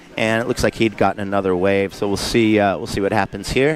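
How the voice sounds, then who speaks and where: This man has an American accent and a fairly low pitch, with fairly even intonation. Noticeable background noise runs under his speech. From Southern California, San Diego area. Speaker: surf contest commentator. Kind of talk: live commentary. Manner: casual, filler-heavy.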